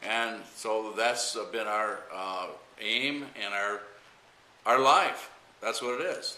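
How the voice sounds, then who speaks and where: A man at medium pitch talks very slowly in an American accent, with long, frequent pauses and fairly even intonation. The recording has audible room echo and noticeable background noise. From Michigan. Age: 60s. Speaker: pastor. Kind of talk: interview. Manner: halting, many fillers.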